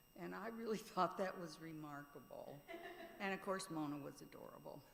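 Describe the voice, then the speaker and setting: A woman's loudness swings widely, with room echo clearly audible. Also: moderate pace. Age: 70s. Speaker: mourner sharing memories. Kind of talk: eulogy remarks.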